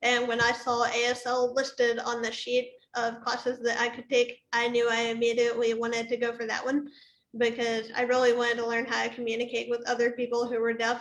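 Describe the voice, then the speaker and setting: A high-pitched woman's voice at a moderate pace. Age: 20s. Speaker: deaf cochlear implant user. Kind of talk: panel discussion. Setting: livestream.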